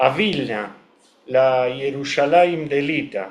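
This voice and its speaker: A man with a Rioplatense accent, very slow and with lively intonation, plus audible room echo. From Argentina, Buenos Aires. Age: 70s. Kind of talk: interview. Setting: video call.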